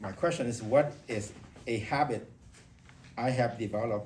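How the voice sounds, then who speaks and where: In a room with audible echo, a man with a non-native accent speaks at a medium pitch. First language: not English. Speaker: public speaking club member. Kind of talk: impromptu speech. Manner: halting.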